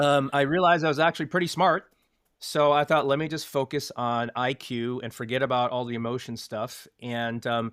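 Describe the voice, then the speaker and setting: A man talks at a moderate pace in an unremarkable speaking voice with a fairly high pitch and ordinary pitch variation, recorded very cleanly against a silent background. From US (moved from Taiwan at age three). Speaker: former tech company leadership trainer. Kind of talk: interview. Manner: many fillers (uh, um).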